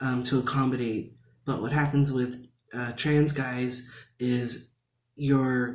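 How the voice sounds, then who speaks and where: Audible room echo surrounds a man speaking with an American accent and fairly even intonation. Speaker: video blogger. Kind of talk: casual vlog talk. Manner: many fillers and restarts.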